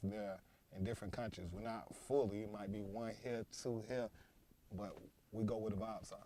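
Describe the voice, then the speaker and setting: A man with an American accent speaks at a fairly quick pace in a dark, mellow tone, fairly low in pitch and monotone, with flat intonation. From United States. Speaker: event collective founder. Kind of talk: podcast interview.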